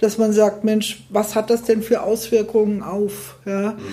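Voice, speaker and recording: A woman with a fairly high pitch speaks at a fairly slow pace against noticeable background noise. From Fulda, Hesse, Germany. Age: 60s. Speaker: school principal. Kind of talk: interview.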